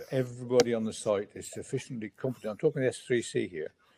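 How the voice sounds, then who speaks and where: This man has a medium pitch. His tone is dark and mellow. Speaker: safety certification official. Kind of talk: panel discussion.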